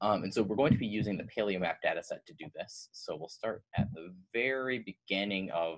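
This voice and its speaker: Over a quiet background, a man talks fairly quickly in a fairly low voice. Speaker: presenter. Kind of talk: educational presentation. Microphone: webcam.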